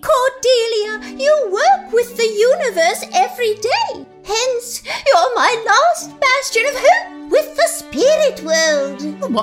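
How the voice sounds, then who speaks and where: In a put-on character voice, a woman speaks at an extremely high pitch with very wide pitch swings, at a very slow pace with hardly any pauses, over clear music in the background. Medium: audio drama. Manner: genteel, fluttery.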